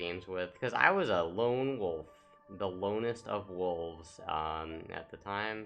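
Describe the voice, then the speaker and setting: The speaker goes fairly slowly while music plays behind the voice. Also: man. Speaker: gaming YouTuber. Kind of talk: casual gameplay commentary. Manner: monotone; halting, many fillers.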